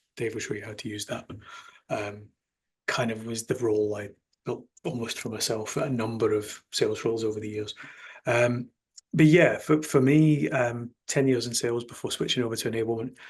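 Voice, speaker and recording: This man talks at a fairly quick pace and medium pitch, with ordinary pitch variation. His voice is somewhat breathy and swings widely in loudness. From Scotland, Glasgow. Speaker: sales enablement executive. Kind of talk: podcast interview.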